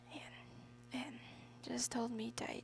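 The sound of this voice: The pace is slow, with fairly even intonation and some vocal fry. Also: woman.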